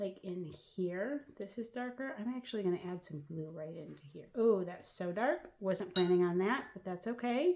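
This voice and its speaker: In a plain, everyday voice of medium pitch, a woman talks at a moderate pace with hardly any pauses, lively intonation and big swings in loudness. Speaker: watercolor artist. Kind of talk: tutorial. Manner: casual, chatty.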